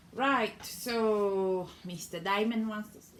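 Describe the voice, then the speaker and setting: Noticeable background noise under a woman's fairly high-pitched voice, very slow in pace with fairly even intonation. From Cameroon. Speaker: mother. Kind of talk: casual talk to camera.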